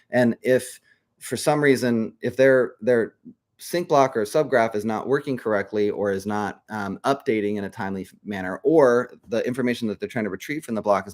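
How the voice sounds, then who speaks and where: This man speaks at a fairly quick pace with a medium pitch and ordinary pitch variation, in a dry, close sound with no echo on a very clean recording with a silent background. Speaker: crypto project leader. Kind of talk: live stream update. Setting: live stream. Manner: fast; hesitant fillers.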